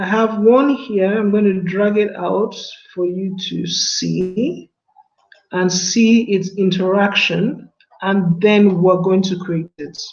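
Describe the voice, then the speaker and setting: Very slow speech broken by long, frequent pauses, with music in the background. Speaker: design workshop instructor. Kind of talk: tutorial.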